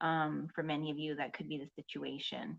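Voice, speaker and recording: A woman speaks with a fairly low pitch. She is soft-spoken. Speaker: psychic card reader. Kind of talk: tarot card reading. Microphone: voice may sound quiet.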